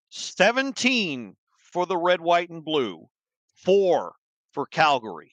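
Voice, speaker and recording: In a plain, everyday voice, a man talks at a fairly slow pace with lively intonation and fairly high pitch, in a dry, close sound with no echo and a quiet background. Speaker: hockey podcast host. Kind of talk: sports podcast commentary.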